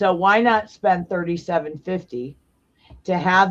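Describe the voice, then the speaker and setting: An unremarkable speaking voice from a woman, medium in pitch, at a moderate pace. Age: 60s. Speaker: founder of a biker safety nonprofit. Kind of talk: podcast interview.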